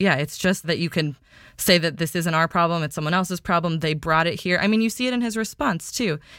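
With a plain, everyday voice, a woman speaks at a fairly quick pace and a fairly low pitch with ordinary pitch variation, on a very clean recording with a silent background. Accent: American. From US, Indian American family. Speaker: health reporter. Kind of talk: casual interview. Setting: home closet recording.

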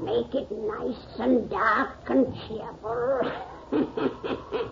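In a put-on character voice, a female-sounding speaker uses a fairly high pitch and a sinister tone, going very slowly over clear background noise. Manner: gleeful, mock-sinister.

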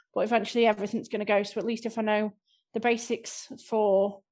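A woman with a slight Scouse accent, fairly high in pitch and monotone, flat in intonation, against a quiet background. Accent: slight Scouse-tinged north-west English. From Southport, north-west England. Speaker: improv class member and guest. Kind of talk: casual interview chat.

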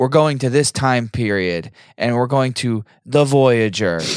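The sound is dry and close, without any echo. A man does the talking. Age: 30s. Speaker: podcast host. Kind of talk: casual chat.

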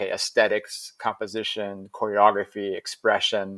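A Midwestern accent in a dry, close sound with no echo. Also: man. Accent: American Midwest. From US Midwest (Ohio). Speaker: juggler and circus teacher. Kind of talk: interview conversation.

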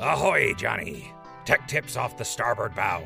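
A man does a raspy, put-on character voice at a medium pitch. Clear music plays in the background. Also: moderate pace. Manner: playful, nautical.

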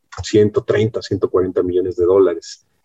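A man's dark, mellow, somewhat breathy voice with fairly even intonation, in a dry, close sound with no echo. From Mexico City. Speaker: human capital consultant. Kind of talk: interview. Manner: hesitant, repeats words.

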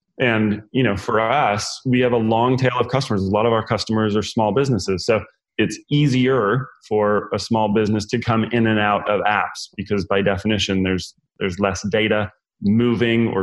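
A man speaks in a plain, everyday voice at fairly low pitch. His pace is moderate and his intonation fairly even. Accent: American. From US West (rural California). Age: 40s. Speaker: entrepreneur. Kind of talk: interview.

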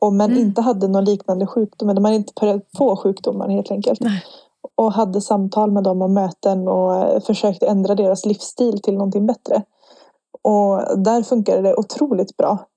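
In a dry, close recording with no echo, a woman speaks at a moderate pace in a medium pitch, her dark, mellow tone monotone and flat, her loudness very even. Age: 20s. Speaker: nursing student and student union chair. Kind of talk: podcast interview.

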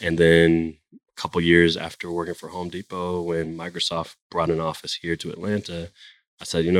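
A man's very deep, low voice with an American accent, fairly quick in pace, with a dry, close sound and no echo. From Florida, Jacksonville. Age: 30s. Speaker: startup founder. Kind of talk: interview conversation.

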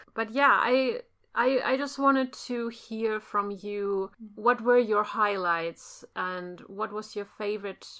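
Speaking at a very slow pace with a German accent, a woman uses a fairly high pitch, ordinary pitch variation and a bright, sharp tone. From Germany. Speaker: podcast co-host. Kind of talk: casual chat.

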